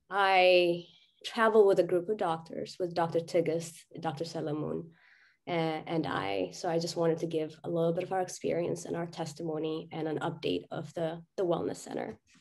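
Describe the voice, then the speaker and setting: A woman's fairly low pitch with vocal fry and fairly even intonation. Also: moderate pace, quiet background. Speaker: doctor. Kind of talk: presentation. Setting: video call.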